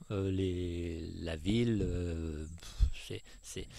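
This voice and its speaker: A man, in a very clean recording with a silent background. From France, Savoie. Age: 60s. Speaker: retired landowner. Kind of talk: interview.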